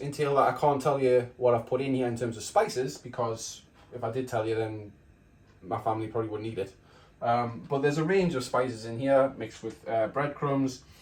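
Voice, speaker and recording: A somewhat breathy man at medium pitch, at a fairly quick pace. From northeast England (Geordie). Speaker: cooking video creator. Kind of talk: casual cooking tutorial. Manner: hesitant, with frequent fillers.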